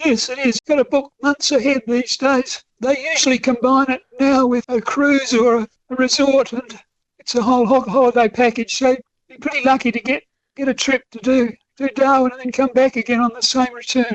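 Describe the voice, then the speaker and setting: At a moderate pace, a man speaks in an extremely high pitch. His intonation is monotone and flat, while his loudness swings widely. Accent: South Australian. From Australia, Adelaide. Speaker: author and train enthusiast. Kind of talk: radio interview.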